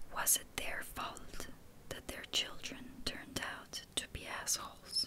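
Whispering very slowly, a woman can be heard against noticeable background noise. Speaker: ASMR creator. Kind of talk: ASMR reading of personal notes as mantras. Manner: whispered, soft.

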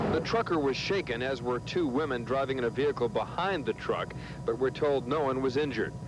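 A man's voice comes at a fairly quick pace with ordinary pitch variation and very even loudness, in a dry sound with no echo and noticeable background noise. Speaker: TV field reporter. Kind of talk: live news report. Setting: outdoors.

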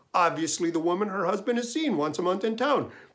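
Against a quiet background, a man talks at a fairly quick pace in a high voice. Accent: Minnesota. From Minnesota. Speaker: essayist. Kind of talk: storytelling monologue. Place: home room. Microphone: webcam.

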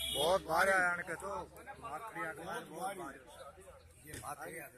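With ordinary pitch variation, a fairly high-voiced man is heard against noticeable background noise. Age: old. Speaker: farmer. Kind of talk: interview answer.

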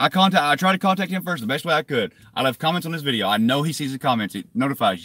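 A man with a fairly high pitch races along at a very fast pace with hardly any pauses, his tone bright and sharp. His pitch swings very widely, his loudness shifts a lot, and the sound is dry with no echo over a quiet background. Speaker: YouTube cop-watch activist; vlogger. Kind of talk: live stream chat to viewers. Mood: defensive, irritated. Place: car. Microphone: phone near.

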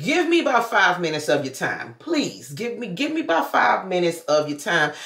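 A woman's fairly low voice with very wide pitch swings, a fairly quick pace, audible room echo and noticeable background noise. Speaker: vlogger. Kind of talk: casual vlog talk. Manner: fast.

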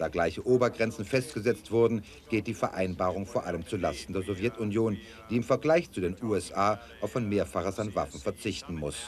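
Light background noise sits behind a man with an unremarkable speaking voice, fairly low pitch, and lively intonation, who talks at a fairly quick pace. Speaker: news correspondent reporting. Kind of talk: television news report voiceover.

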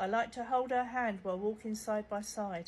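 With a British accent, a woman speaks at a fairly high pitch and fairly even intonation over light background noise. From UK. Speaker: social media content creator. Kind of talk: humorous storytelling, reading out a chat. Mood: wry, joking. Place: home room. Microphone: phone near.

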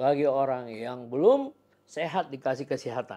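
Dark and mellow in tone, this man's voice moves at a fairly slow pace. The pitch varies in an ordinary way. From Indonesia. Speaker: podcast host. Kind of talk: interview. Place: office. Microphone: lapel.

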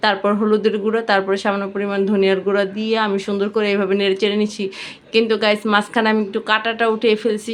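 Woman at medium pitch with monotone, flat intonation. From Bangladesh, Bikrampur (Munshiganj) village. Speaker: cooking vlogger. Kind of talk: cooking tutorial. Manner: casual, chatty.

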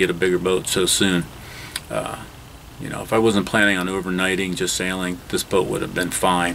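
Against light background noise, a man with a very deep, low voice talks fairly quickly in a flat monotone. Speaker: boat owner vlogger. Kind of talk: casual vlog chat. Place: boat. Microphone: phone near.

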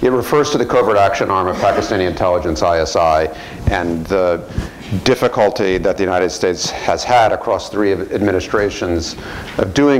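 A man with a very deep, low pitch at a fairly quick pace, with ordinary pitch variation, very even loudness and light background noise. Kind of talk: lecture. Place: hall. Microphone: lapel.

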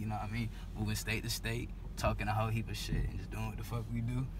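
A man talking at a very fast pace, dry with no echo, over noticeable background noise. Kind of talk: casual vlog chat. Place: car.

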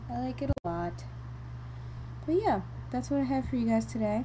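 A woman with an American accent speaks at a moderate pace. She leaves long, frequent pauses. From New York. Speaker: video blogger. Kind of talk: casual vlog. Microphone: microphone problems.

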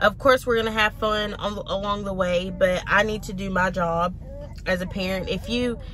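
Speaking at a moderate pace with fairly even intonation, a woman is heard in dry sound with no echo and light background noise. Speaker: mom vlogger. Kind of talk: casual vlog chat. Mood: earnest, reflective. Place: car.

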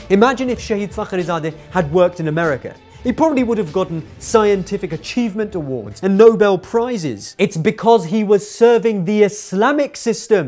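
The delivery is fairly quick, with hardly any pauses. Faint music plays in the background. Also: man. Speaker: speaker. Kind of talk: commentary. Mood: indignant, persuasive. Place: studio. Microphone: lapel.

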